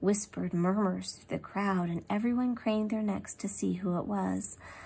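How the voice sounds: The clip features a natural reading voice.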